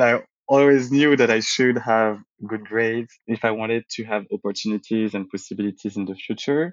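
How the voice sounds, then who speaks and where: The speaker has a French accent and keeps a moderate pace. The intonation is fairly even. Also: man, medium pitch for a man. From France, Paris area (from age six; born in Martinique). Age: 20s. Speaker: interviewee sharing personal story. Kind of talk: personal testimony.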